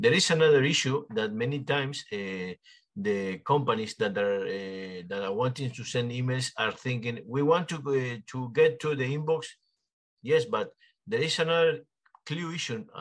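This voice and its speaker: Speaking with a Spanish accent, a man keeps a medium pitch, moderate pace and lively intonation. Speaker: podcast host. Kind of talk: interview. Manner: halting.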